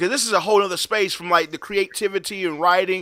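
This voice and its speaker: A man's bright, sharp, raised and projected voice, dry and close with no echo. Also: very clean recording, silent background. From rural US South. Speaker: talk show host. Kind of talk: casual interview chat. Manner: animated.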